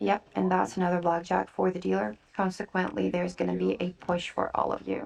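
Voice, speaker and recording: A soft-spoken woman at a fairly quick pace, with hardly any pauses. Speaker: blackjack dealer hosting a live table. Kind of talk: ASMR soft-spoken blackjack session with casual chat. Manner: soft-spoken, calming.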